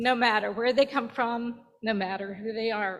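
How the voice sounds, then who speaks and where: In an American accent, a woman speaks at a fairly high pitch with a bright, sharp tone and fairly even intonation. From Virginia, US South. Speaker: church member. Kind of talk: testimony. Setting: church.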